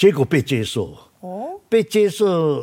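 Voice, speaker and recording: A man talks with a Taiwanese accent. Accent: Taiwanese Mandarin. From Taiwan, Taichung. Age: 70s. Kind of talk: interview. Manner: halting, filler-heavy.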